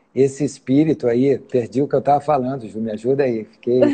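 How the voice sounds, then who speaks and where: Here a man is speaking. His intonation is monotone and flat. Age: 60s. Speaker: farmer and engineer. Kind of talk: interview. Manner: halting.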